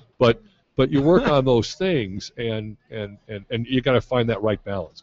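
A man's plain, everyday voice at medium pitch, with ordinary pitch variation. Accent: American. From US Midwest, Chicago. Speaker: youth soccer coach and former pro player. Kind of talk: interview.

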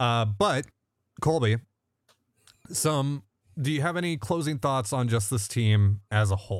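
On a very clean recording with a silent background, a man talks fairly slowly with lively intonation. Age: 20s. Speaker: sports podcast host. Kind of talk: casual chat.

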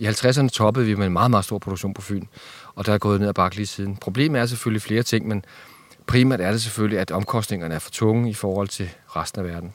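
Here a man talks at a very fast pace. His pitch is fairly low, with ordinary variation. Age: 50s. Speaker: fruit grower. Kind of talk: casual interview.

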